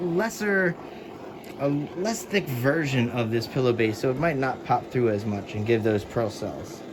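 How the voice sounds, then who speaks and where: A man speaks with lively intonation. Noticeable background noise runs underneath. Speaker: fluid art painter, tutorial creator. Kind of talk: tutorial. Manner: casual, conversational.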